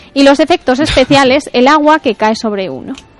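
Against noticeable background noise, a woman talks at a fairly quick pace with ordinary pitch variation. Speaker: radio contributor on philosophy. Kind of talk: radio segment.

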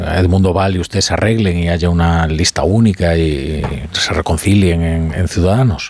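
This man's voice is very deep and low, with ordinary pitch variation and a moderate pace. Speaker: radio host. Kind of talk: radio talk show.

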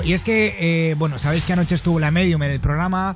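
Noticeable background noise runs under this recording. A man talks over it at a very fast pace. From Valencia, Spain. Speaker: radio host. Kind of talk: late-night radio show. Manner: animated.

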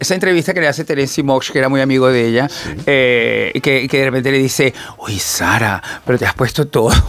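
A man of medium pitch at a very fast pace, with noticeable background noise. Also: ordinary pitch variation. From Venezuela. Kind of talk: casual chat.

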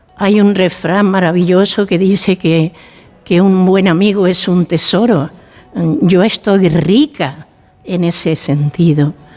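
Against noticeable background noise, a woman talks very slowly at medium pitch, with very even loudness and ordinary pitch variation. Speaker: founder of a senior cohousing community. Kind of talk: radio interview.

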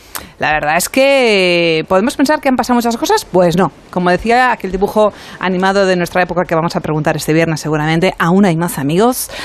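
Against noticeable background noise, a woman speaks at a medium pitch and a fairly quick pace. Her intonation is lively, and she hardly pauses. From Spanish Mediterranean coast. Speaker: radio co-host. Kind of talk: casual chat.

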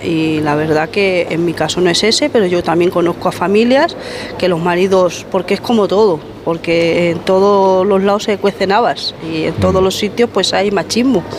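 Over noticeable background noise, a woman of medium pitch speaks at a moderate pace, keeping her loudness very even and her pitch variation ordinary. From Spain, Madrid. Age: 50s. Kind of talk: group discussion.

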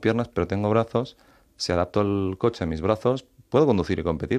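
Against a quiet background, a man speaks at a fairly low pitch with ordinary pitch variation. He has an ordinary speaking voice. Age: 30s. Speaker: author. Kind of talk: interview.

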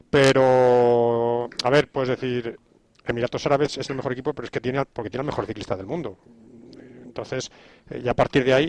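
Talking at a fairly quick pace, a man has an ordinary speaking voice, medium pitch and fairly even intonation, with a dry, close sound with no echo. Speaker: sports commentator. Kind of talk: panel discussion.

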